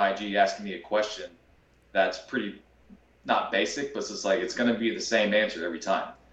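A man talks in a plain, everyday voice with an American accent. His pitch sits fairly low, and his pace is moderate. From Kansas, US Midwest. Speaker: golf fitness trainer. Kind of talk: casual interview chat.

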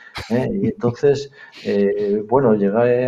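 At a very slow pace, a man with a Castilian accent speaks at medium pitch in a dark, mellow tone with ordinary pitch variation. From northern Spain, Palencia. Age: 50s. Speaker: private security director. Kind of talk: interview. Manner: halting.

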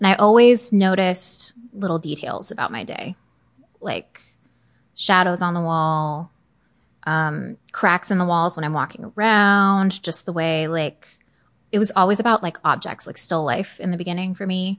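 A woman with a General American accent and an ordinary speaking voice talks at a moderate pace with a medium pitch and ordinary pitch variation. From US, Northern Virginia. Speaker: newborn and family photographer. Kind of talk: interview, casual chat.

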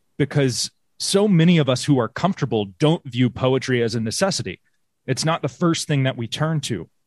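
Against a quiet background, a man with an American accent talks at a fairly quick pace and medium pitch. The sound is dry and close, with no echo. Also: lively intonation. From US South, South Carolina. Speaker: poet and teacher. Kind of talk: interview conversation. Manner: halting, repeats words.

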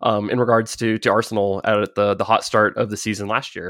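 A man with a plain, everyday voice and an American accent speaks at a moderate pace and a fairly low pitch. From United States. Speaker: football stats podcast host. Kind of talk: casual interview chat.

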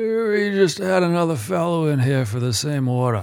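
A put-on character voice moves at a moderate pace and holds a middle pitch.

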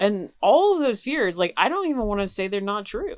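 On a very clean recording with a silent background, a woman with an American accent speaks at a medium pitch. She has a plain, everyday voice, with lively intonation and a moderate pace. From Knoxville, Tennessee, US South. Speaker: producer and professor. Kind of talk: casual chat. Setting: outdoors by a lake cabin.

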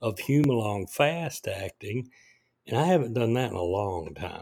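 An unremarkable speaking voice from a man, medium in pitch and fairly slow, on a very clean recording with a silent background. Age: 60s. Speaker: podcaster sharing diabetes experience. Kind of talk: personal monologue. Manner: casual with filler words.

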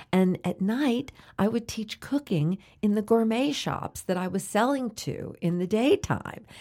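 Her tone dark and mellow, a woman speaks at a fairly slow pace with lively intonation in a very clean recording with a silent background. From New Orleans, Louisiana. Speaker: radio host and food educator. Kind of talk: interview. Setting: studio.

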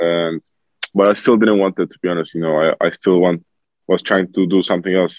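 A man with a Turkish accent speaks at a fairly quick pace in a very deep, low voice, his intonation monotone and flat. His loudness swings widely, and the sound is dry and close with no echo. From Turkey. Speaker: professional basketball player. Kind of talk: interview.

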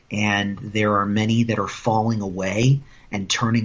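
A man with an American accent talks in a normal speaking voice at medium pitch and a fairly slow pace. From US Midwest (Indiana, Iowa). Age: 30s. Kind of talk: casual chat.

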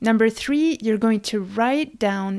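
A woman's fairly high voice in a calm tone, on a very clean recording with a silent background. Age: 30s. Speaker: podcast host. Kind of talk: solo podcast monologue. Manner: calm, guiding.

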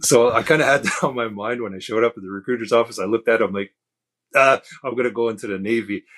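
A man's medium-pitched voice at a very fast pace, dry and close with no echo, on a very clean recording with a silent background. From Kahnawake Mohawk reserve near Montreal, Quebec. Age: 50s. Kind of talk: casual interview conversation.

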